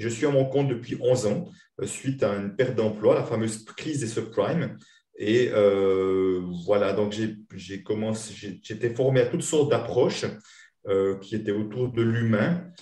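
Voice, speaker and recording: A man with a Swiss accent speaks at a fairly slow pace and medium pitch, with ordinary pitch variation. His dark, mellow tone is somewhat breathy, and the room echo is audible. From Switzerland. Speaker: money-relationship coach and trainer. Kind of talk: interview.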